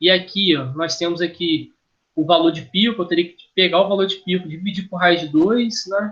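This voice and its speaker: Bright and sharp in tone, this man's voice sits high. It has ordinary pitch variation. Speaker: engineering lecturer. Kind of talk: lecture. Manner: halting, self-correcting.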